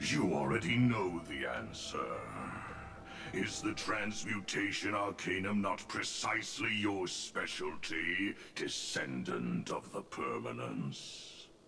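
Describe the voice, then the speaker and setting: Putting on a character voice, a man speaks at a fairly slow pace with fairly low pitch and very wide pitch swings, amid clear background noise. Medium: video game. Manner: solemn, grandiose.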